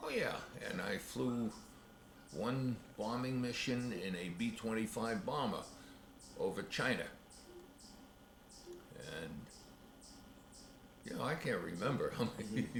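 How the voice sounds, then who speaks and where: Speaking at a fairly slow pace with long, frequent pauses, a man with a medium-pitched voice shows ordinary pitch variation over noticeable background noise. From United States. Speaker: WWII veteran, former Air Force radio operator. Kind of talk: interview answer. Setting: home video, camcorder.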